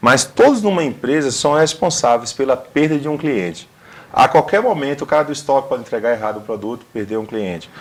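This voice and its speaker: With a northeastern Brazilian accent, a man speaks at a fairly quick pace, fairly high pitched, with lively intonation. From Northeast Brazil. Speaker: career consultant and motivational speaker. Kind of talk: TV interview.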